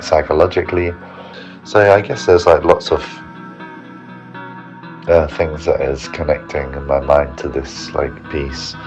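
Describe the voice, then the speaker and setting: A man talks while music is heard in the background. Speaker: choreographer. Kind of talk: casual voice note. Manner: rambling, hesitant, thinking aloud.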